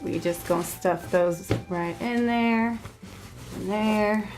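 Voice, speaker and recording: A medium-pitched woman at a fairly slow pace, with music in the background. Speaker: travel vlogger. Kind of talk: instructional packing vlog. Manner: casual, joking.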